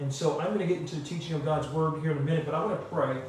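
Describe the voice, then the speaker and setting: Room echo is audible, along with light background noise. A man speaks fairly quickly with fairly even intonation. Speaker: pastor. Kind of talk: sermon. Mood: calm, earnest. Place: home room.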